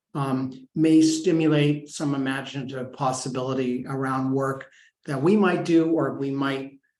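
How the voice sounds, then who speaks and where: At a fairly slow pace, a man with a fairly high pitch speaks with fairly even intonation, and audible room echo can be heard. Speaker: professor, project director. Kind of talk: webinar presentation.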